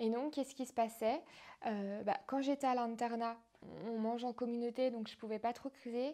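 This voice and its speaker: At a moderate pace, a woman speaks in a fairly high pitch with a dark, mellow tone and monotone, flat intonation. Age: 20s. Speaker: former patient, health platform founder. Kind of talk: personal testimony interview. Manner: hesitant, many fillers.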